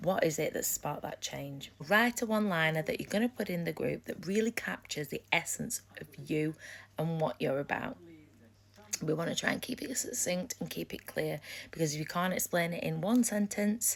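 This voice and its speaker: A woman with an East Midlands accent talks at a moderate pace in a fairly low voice with vocal fry. Her tone is animated and her intonation lively. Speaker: business coach. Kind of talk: live stream talk. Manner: loud.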